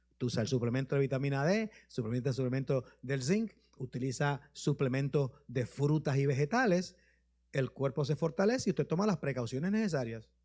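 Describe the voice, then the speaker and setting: This man speaks fairly quickly, with lively intonation and a fairly high pitch. His voice is somewhat breathy and very even in loudness, against a quiet background. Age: 60s. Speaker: bishop. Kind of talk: sermon with questions and answers. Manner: informal, conversational.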